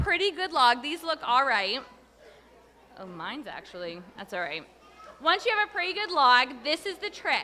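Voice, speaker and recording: Over crowd noise in the background, a woman talks in a raised, projected voice at a moderate pace, with big swings in loudness. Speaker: teacher demonstrating auction item. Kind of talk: live demonstration at auction.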